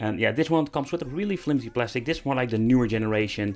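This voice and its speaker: A man with a Dutch accent and lively intonation. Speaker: YouTuber reviewing handheld games. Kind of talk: product review video. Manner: casual, slightly halting.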